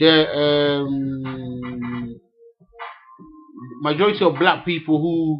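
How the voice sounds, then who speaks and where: Against music in the background, a man with a fairly high pitch speaks very slowly, leaving long, frequent pauses. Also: ordinary pitch variation. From Africa, living in England. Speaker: vlogger. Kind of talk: rant to camera. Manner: halting, repetitive.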